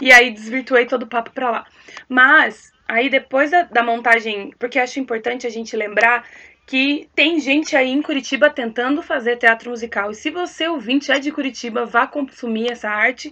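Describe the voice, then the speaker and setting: Bright and sharp in tone, a woman talks at a high pitch and moderate pace with ordinary pitch variation. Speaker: actress and singer. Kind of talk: casual chat.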